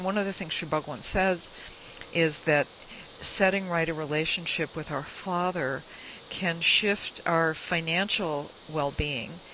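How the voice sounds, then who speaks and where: Over noticeable background noise, a woman speaks at a fairly slow pace. Her pitch is fairly low and her intonation fairly even. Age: 60s. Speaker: radio host and minister. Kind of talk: radio interview; guided meditation.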